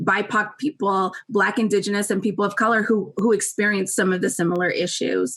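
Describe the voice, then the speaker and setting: With fairly even intonation and medium pitch, a woman speaks in an unremarkable speaking voice. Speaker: university staff presenter. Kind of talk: presentation.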